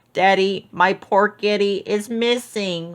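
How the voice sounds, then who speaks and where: A put-on character voice, fairly high in pitch and fairly slow in pace. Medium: read story.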